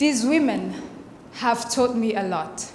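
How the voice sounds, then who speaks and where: Noticeable background noise and audible room echo surround a woman whose voice sits at a fairly high pitch. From Burundi. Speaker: fellowship speaker. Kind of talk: presentation speech.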